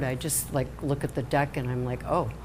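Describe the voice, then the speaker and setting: The woman speaks fairly quickly. An echo from the room can be heard. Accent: American. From Chicago, US Midwest. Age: 70s. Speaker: tarot card reader. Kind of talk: casual interview. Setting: live-streamed show in a salon.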